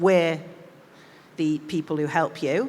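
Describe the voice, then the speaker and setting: A woman speaks at a moderate pace in a Mancunian accent. Her pitch is very deep and low, and her intonation stays fairly even. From northern England, Manchester. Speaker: diplomat. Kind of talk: interview on stage.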